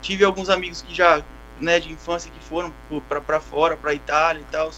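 A man at a moderate pace. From Brazil. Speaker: Brazilian emigrant working on a cattle operation. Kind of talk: casual chat.

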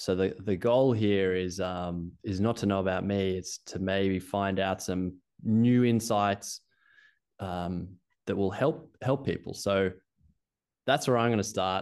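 Against a quiet background, a man with an Australian accent talks at a fairly slow pace in a fairly low voice. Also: ordinary pitch variation. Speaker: ski coaching founder. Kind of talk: casual interview chat.

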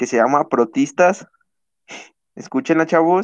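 A man talks with ordinary pitch variation. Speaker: podcast co-host. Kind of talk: casual chat. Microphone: internet connection cutting out.

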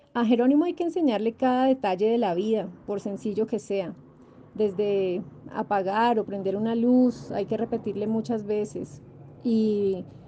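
Her dark, mellow tone set at a fairly high pitch, a woman speaks at a fairly slow pace with lively intonation. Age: 40s. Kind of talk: interview testimony. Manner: hesitant fillers.

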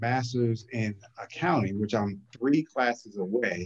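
A man has a normal speaking voice with an American accent. He talks at a fairly slow pace with ordinary pitch variation. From New Jersey (New Brunswick). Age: 50s. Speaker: accountant and financial business owner. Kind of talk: casual interview.

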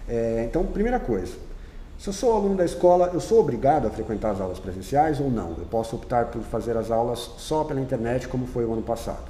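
Over noticeable background noise and audible room echo, the speaker moves at a fairly quick pace with very wide pitch swings. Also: man, medium pitch for a man. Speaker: teacher and school podcast host. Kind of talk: casual interview.

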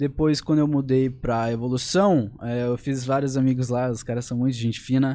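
Heard in a very clean recording against a silent background, a man with a medium pitch and a dark, mellow tone speaks at a moderate pace with fairly even intonation and hardly any pauses. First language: English (speaking Portuguese). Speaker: young fighter. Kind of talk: casual chat.

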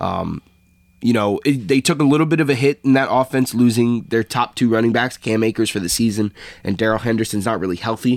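Here is a man with an ordinary speaking voice at medium pitch, using ordinary pitch variation. He talks at a fairly quick pace, and the sound is dry and close with no echo. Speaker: podcast host. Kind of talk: casual sports banter.

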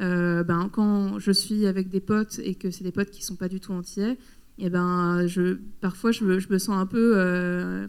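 Fairly even in intonation, a woman's voice sits at a medium pitch. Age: 30s. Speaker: photographer. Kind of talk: public talk interview. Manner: halting.

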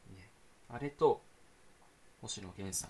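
This voice is somewhat breathy. It belongs to a man. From Saitama, Japan. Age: young. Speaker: podcast host, university student. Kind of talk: casual solo talk. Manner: fast, run-on.

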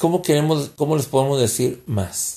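A man talks at a fairly slow pace in a somewhat breathy, dark, mellow tone. The recording is very clean, with a silent background. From Mexico. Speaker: podcast host. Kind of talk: political commentary monologue. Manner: halting.

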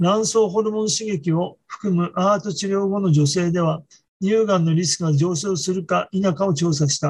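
A man's high-pitched voice, with ordinary pitch variation, moves at a moderate pace. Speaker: physician presenting research papers. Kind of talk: journal club presentation. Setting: video call.

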